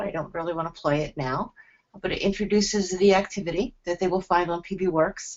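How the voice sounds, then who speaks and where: A woman in a New Jersey accent at medium pitch, with ordinary pitch variation and a moderate pace. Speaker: teacher presenting a lesson tool. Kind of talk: webinar presentation.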